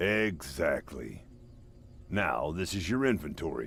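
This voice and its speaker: A man puts on a character voice with a very deep, low pitch and very wide pitch swings, talking at a fairly slow pace over clear background noise. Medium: video game. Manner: dry, sarcastic.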